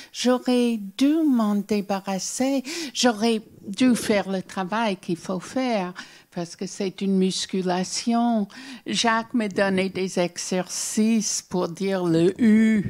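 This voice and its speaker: A woman at medium pitch, with an American accent, a very slow pace and ordinary pitch variation. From US Northeast (Newark, New Jersey). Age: 70s. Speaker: children's author. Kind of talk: interview with audience Q&A. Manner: halting, repeats words.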